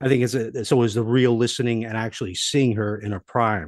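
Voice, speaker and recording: A man's medium-pitched voice at a fairly quick pace, ordinary pitch variation, and a quiet background. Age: 60s. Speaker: podcast host. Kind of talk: casual interview chat. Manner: animated.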